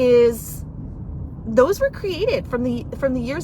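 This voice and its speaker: The speaker's tone is animated, with noticeable noise in the background. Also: woman. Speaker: divorce coach. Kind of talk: live video chat.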